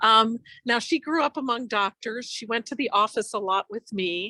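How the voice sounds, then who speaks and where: A woman speaks at a fairly slow pace with a bright, sharp tone and ordinary pitch variation, on a very clean recording with a silent background and a dry, close sound with no echo. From Eastern Europe. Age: 60s. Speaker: physician. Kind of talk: podcast interview. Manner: conversational, with fillers.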